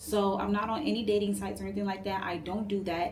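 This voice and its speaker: A medium-pitched woman's voice with noticeable background noise and audible room echo. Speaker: tarot reader. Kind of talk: casual tarot reading to camera. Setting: at home late at night. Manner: soft-spoken; casual, filler-heavy.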